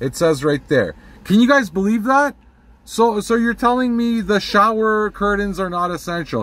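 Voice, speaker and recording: A man at a moderate pace, dry sound with no echo. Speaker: vlogger. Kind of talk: casual vlog rant. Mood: annoyed, indignant. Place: car. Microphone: phone near.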